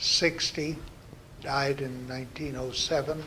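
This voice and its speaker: Audible room echo surrounds a man whose fairly high voice stays monotone and flat. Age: 80s+. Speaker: interviewee recounting family history. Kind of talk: oral history interview. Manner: halting, frequent fillers and restarts.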